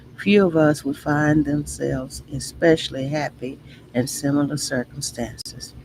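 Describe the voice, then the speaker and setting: A woman with an American accent speaks at a very deep, low pitch with fairly even intonation. Noticeable background noise sits behind her. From Texas. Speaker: livestream host. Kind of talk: reading aloud with commentary. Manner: deliberate, self-correcting reading.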